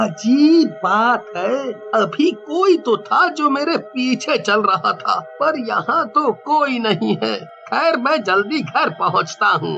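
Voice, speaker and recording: A man performs a cartoonish character voice at an extremely high pitch. Clear music plays in the background. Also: fairly slow pace. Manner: startled, frightened.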